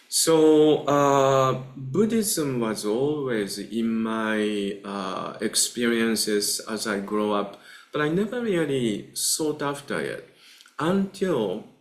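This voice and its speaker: Lively intonation from a man at a medium pitch with a Japanese accent, in audible room echo. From Japan, Kamakura. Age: 60s. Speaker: Buddhist teacher. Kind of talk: lecture. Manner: halting, many filler uhs.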